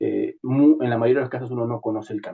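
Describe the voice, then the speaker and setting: A man is heard here. His delivery comes at a fairly quick pace. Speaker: entrepreneur and startup speaker. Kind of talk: online talk. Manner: fast.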